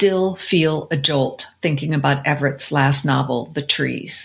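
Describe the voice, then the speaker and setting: The voice is somewhat breathy, with ordinary pitch variation. The pace is fairly slow. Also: woman. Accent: American. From Colorado. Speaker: book podcast co-host. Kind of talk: casual chat about book picks.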